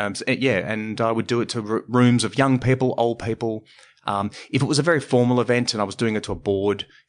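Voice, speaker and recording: A man with an Australian accent speaks at a fairly quick pace, with a medium pitch and ordinary pitch variation. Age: 40s. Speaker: stand-up comedy teacher and presentation trainer. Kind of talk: casual interview conversation.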